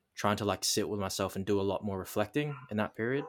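This man speaks with an Australian accent at a fairly low pitch. The recording is very clean, with a silent background. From Darwin, Northern Territory, Australia. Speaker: mindset and business coach. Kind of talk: casual interview, life story. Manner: hesitant, many fillers.

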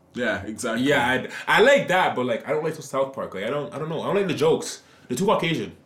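Talking very fast with lively intonation, a man with an American accent and a fairly high pitch is heard over noticeable background noise. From New Jersey. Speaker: podcast host. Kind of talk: casual chat.

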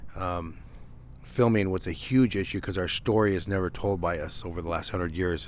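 A man's very deep, low voice at a fairly quick pace with fairly even intonation. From Nevada, Paiute Shoshone. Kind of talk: interview. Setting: on location at protest camp.

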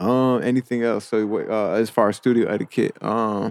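A man with a New York accent. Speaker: podcast host. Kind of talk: interview. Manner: halting.

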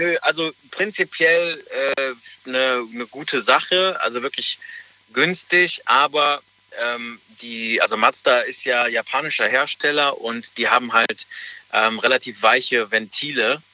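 A man at a fairly slow pace with long, frequent pauses, dry, close sound with no echo, and noticeable background noise. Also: fairly high pitch for a man, ordinary pitch variation. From Germany, Rhineland near Cologne/Leverkusen. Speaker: caller. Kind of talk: phone-in call.

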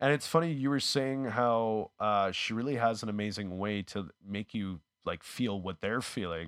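A man with a Canadian accent has an unremarkable speaking voice, fairly low in pitch with ordinary pitch variation. He keeps a moderate pace with hardly any pauses, on a very clean, silent-background recording with a dry, close sound and no echo. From Canada, Winnipeg. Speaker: actor, comedian and YouTuber. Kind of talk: casual chat.

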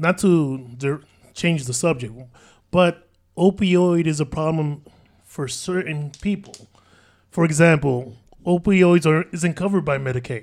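A man with an American accent and fairly high pitch talks at a fairly slow pace with ordinary pitch variation and long, frequent pauses, on a very clean recording with a silent background. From New York City, Washington Heights. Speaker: panel guest. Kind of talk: casual panel debate.

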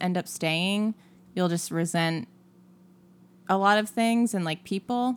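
Her pace is fairly slow. The woman's medium pitch shows ordinary variation. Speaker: podcast co-host. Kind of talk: casual chat.

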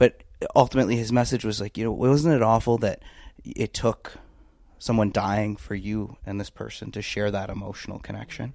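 A man with a Canadian accent has an ordinary speaking voice at a fairly low pitch, with fairly even intonation. He speaks at a moderate pace in a very clean recording with a silent background. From Canada. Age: 20s. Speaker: political commentator. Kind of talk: casual interview chat.

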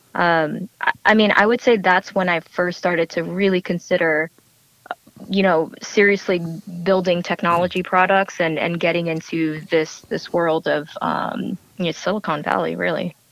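A woman with an American accent speaks at a moderate pace in a fairly low pitch, using an ordinary speaking voice. Her intonation is fairly even, and the sound is dry and close with no echo. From New Jersey, US. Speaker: startup co-founder. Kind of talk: interview.

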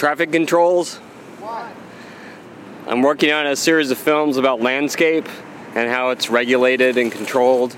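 Against noticeable background noise, a man with an American accent talks at a moderate pace and medium pitch with ordinary pitch variation. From US Pacific Northwest, Portland. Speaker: podcast host and filmmaker. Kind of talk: scripted narration; casual chat.

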